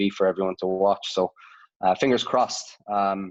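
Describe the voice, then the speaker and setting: Delivered at a fairly quick pace, the speech comes in an Irish accent with monotone, flat intonation. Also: man. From Ireland (Dublin). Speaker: sports analytics head. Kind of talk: interview. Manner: hesitant, many fillers.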